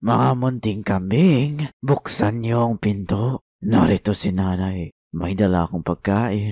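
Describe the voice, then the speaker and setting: Using a put-on character voice, a man talks in a fairly low pitch at a very slow pace with hardly any pauses. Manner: deceptively sweet, feigning a mother's voice.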